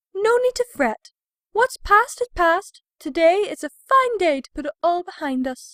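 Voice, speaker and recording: A woman speaks in an extremely high pitch. She is doing a put-on character voice. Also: moderate pace. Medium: audio drama. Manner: refined, affected, uses "darling".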